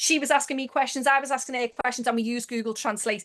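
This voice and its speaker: A woman speaks at a high pitch with a Liverpool accent. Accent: Scouse. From Liverpool, England. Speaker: network marketing manager. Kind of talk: motivational webinar talk. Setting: video call. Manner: fast; animated.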